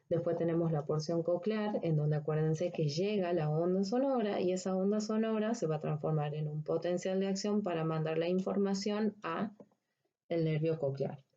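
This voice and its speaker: A fairly low-pitched woman with ordinary pitch variation and very even loudness. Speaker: veterinary anatomy lecturer. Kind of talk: recorded lecture. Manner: slow, deliberate.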